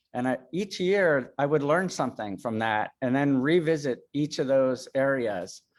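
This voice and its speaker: This man's fairly high-pitched voice moves at a moderate pace. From US, child of Swiss immigrants. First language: Swiss German. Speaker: metalsmith artist. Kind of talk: talk with slides. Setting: video call. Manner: halting.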